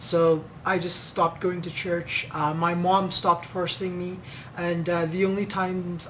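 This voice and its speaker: Speaking at a moderate pace in a monotone, flat way, a man with a high-pitched voice is heard with audible room echo and noticeable background noise. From Pakistan, then Kenya from age thirteen. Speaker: ministry member. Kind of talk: testimony. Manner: halting, many fillers.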